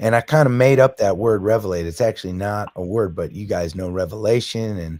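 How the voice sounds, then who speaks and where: A man with a fairly low voice talks at a fairly quick pace with hardly any pauses and ordinary pitch variation, over noticeable background noise. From Massachusetts, near Boston. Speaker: singer-songwriter and band frontman. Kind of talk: podcast interview. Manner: animated, with frequent repetitions and fillers.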